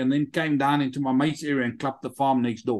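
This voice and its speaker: Someone with a South African accent talks against a quiet background. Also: man. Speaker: army veteran and app entrepreneur; interview guest. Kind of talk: interview. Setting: video call. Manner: animated. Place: home room. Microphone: video call.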